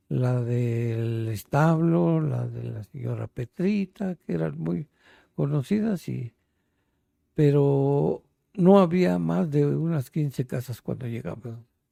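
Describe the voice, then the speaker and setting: In a Mexico City accent, a man speaks very slowly with very wide pitch swings. His tone is dark and mellow, and the sound is dry and close with no echo. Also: medium pitch for a man. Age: 80s+. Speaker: interviewee, elderly resident. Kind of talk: interview, life story. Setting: at his home.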